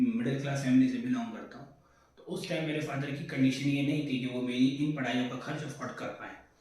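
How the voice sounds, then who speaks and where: The voice moves at a moderate pace with audible room echo and noticeable background noise. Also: man. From India, Delhi (born in Sitamarhi, Bihar). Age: 20s. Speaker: accounts manager introducing himself on his channel. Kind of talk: self-introduction monologue.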